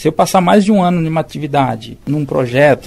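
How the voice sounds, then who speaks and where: This man has an unremarkable speaking voice with a fairly high pitch and ordinary pitch variation. He talks at a fairly quick pace. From interior of São Paulo state, Brazil. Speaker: public sector technical adviser. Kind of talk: interview.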